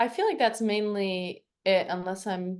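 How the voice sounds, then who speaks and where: A woman with an American accent, medium in pitch, at a fairly slow pace in a monotone, flat intonation. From US, Virginia Beach, Virginia. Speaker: field hockey player. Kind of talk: podcast interview.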